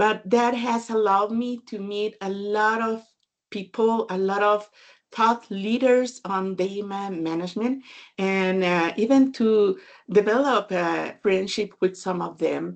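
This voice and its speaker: A woman speaks with a Spanish accent at a medium pitch and a fairly slow pace. Her intonation is fairly even, and the background is quiet. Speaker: data management consultant and author. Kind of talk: webinar talk.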